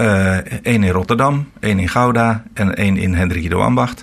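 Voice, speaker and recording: Very deep and low, this man's voice moves at a fairly slow pace. His pitch varies in an ordinary way. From Netherlands, Veluwe (Harderwijk). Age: 60s. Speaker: retiring pastor. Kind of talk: radio interview.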